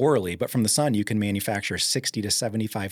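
A man's voice, fairly low in pitch. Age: 40s. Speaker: holistic health expert, chemical engineer. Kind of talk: interview.

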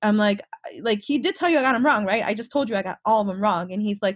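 Somewhat breathy, a woman with an American accent speaks very fast at a fairly high pitch. The sound is dry and close, with no echo. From Chicago, South Side. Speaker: DevOps engineer. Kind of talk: casual interview.

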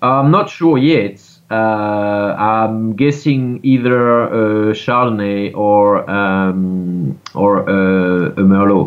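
A man with a French accent talks at a very slow pace with hardly any pauses and very even loudness. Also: fairly low pitch for a man, ordinary pitch variation. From France. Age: 30s. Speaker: winemaker. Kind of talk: interview. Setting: video call.

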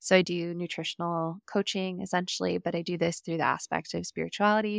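A woman with an American accent talks at a very fast pace. The recording is very clean, with a silent background and dry, close sound with no echo. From California. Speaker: podcast host and nutrition coach. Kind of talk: casual interview chat.

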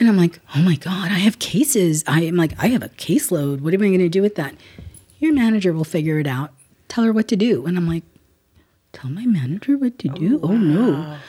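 A woman with an American accent talks at a fairly quick pace, her pitch swinging very widely around a fairly low base. Her tone is dark and mellow, and somewhat breathy. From South Central Los Angeles, from Guatemala. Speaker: legal aid executive director. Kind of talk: interview conversation.

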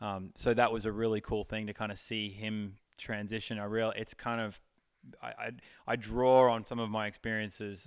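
Speaking with an Australian accent, a man keeps a fairly low pitch and a monotone, flat intonation at a moderate pace. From Australia, outback Queensland. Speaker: event rider and riding clinician. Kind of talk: interview.

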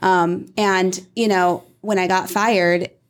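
With an American accent and fairly even intonation, this is a normal speaking voice. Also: woman. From Iowa, US Midwest. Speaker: real estate brokerage executive. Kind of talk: casual interview.

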